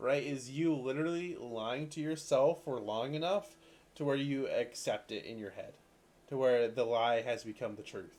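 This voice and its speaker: A quiet man at a moderate pace, his pitch fairly high. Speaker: video game streamer. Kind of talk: casual livestream chat while gaming. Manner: monotone; quiet, muted.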